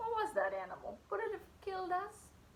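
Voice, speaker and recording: A put-on character voice moves at a fairly quick pace over clear background noise. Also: woman, extremely high pitch for a woman. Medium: read story.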